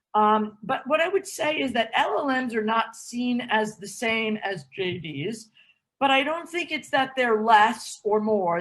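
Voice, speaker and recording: A woman speaks in a plain, everyday voice, pitched fairly high. Her intonation is lively, and her pace is fairly slow. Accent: American. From United States. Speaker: law school dean. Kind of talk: interview Q&A advice.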